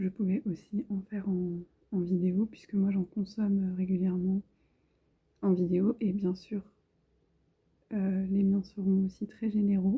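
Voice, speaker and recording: Soft-spoken and somewhat breathy, a woman with a dark, mellow, gentle tone speaks at medium pitch and a fairly slow pace, monotone and flat, with long, frequent pauses. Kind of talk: tarot card reading, relaxing ASMR-style talk to camera. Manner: soft-spoken, gentle.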